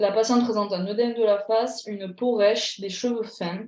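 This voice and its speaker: A woman's fairly high-pitched voice. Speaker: pharmacy exam tutor. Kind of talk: online tutorial. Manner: animated.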